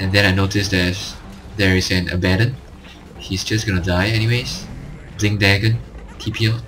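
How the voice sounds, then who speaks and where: The speech runs at a fairly quick pace with fairly even intonation but long, frequent pauses. Audible room echo and noticeable background noise are present. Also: man, fairly low pitch for a man. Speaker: gaming commentator. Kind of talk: gameplay commentary tutorial. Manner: monotone.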